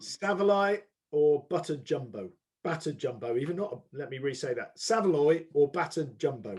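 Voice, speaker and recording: Somewhat breathy, a man talks with a fairly high pitch. His intonation is lively and his pace moderate. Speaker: company executive interviewer. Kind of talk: interview. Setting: video call.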